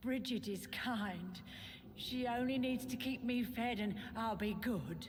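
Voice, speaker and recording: A female-sounding voice in a put-on character speaks at a fairly slow pace over clear background noise. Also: fairly high pitch for a woman. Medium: video game. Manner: eerie, brooding.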